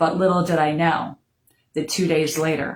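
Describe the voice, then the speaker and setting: An American accent comes through at a moderate pace with ordinary pitch variation. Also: woman. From Florida. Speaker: bereaved mother sharing her story. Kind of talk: personal testimony. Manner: unrehearsed, with many fillers.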